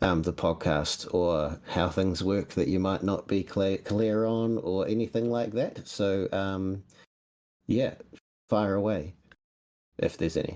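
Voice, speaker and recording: Speaking in a New Zealand accent, a man keeps a fairly low pitch and fairly even intonation. His loudness stays very even at a fairly slow pace. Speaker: podcast host. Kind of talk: casual chat. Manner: runs words together.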